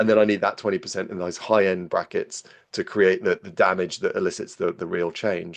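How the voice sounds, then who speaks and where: Moving at a fairly quick pace, a man speaks in a British accent. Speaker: physiologist. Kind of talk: podcast interview. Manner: fast; repetitive stammering restarts.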